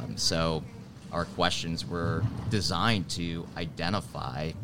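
In an American accent, a man speaks at a fairly slow pace with vocal fry and a very deep, low pitch with ordinary variation. His tone is bright and sharp, and the room echo is audible. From Wisconsin, Milwaukee. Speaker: HR coach. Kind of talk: interview. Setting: live at a conference.

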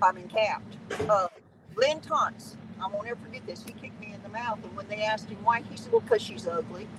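Over noticeable background noise, a woman with an American accent talks very fast in a fairly high voice, showing ordinary pitch variation and big swings in loudness. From Southern California. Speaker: veteran truck driver. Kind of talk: interview.

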